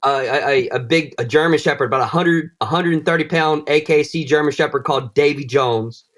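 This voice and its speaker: Speaking very fast with hardly any pauses, a man talks with a Southern US accent. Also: fairly high pitch for a man. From US South, northwest Florida. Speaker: bladesmith. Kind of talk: casual chat. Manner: animated.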